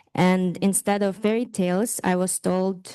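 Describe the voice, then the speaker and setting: A woman with a Ukrainian accent speaks at a fairly low pitch in a dark, mellow tone. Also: quiet background. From northeast Ukraine. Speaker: artist. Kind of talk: guided meditation; talk.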